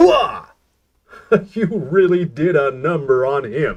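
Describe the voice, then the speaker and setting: Using a put-on character voice, a man speaks at a fairly slow pace with a fairly high pitch and ordinary pitch variation. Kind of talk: comic performance. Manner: cheesy, exaggerated, hearty.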